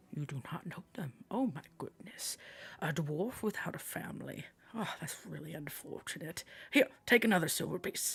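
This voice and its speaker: Whispering at a moderate pace, a man uses a put-on character voice. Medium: actual play. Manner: boisterous, patronizing, warm.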